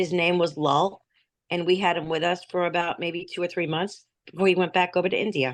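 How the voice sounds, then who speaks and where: In a New Jersey accent, a woman talks at a fairly quick pace with a fairly low pitch. Her intonation is monotone and flat, against a quiet background. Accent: New Jersey American. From US, New Jersey. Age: 60s. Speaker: native speaker guest. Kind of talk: casual chat. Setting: video call.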